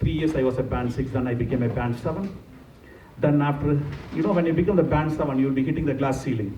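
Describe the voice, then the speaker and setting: Talking very fast, a man with a Tamil accent keeps a medium pitch and ordinary pitch variation. Noticeable background noise and audible room echo fill the recording. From India, Pondicherry. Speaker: nurse manager, conference speaker. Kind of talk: conference talk. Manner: engaging, asks audience questions.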